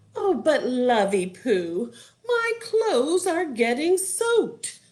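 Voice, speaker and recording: A female-sounding put-on character voice speaks very slowly at a high pitch. Its pitch swings very widely. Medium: read story.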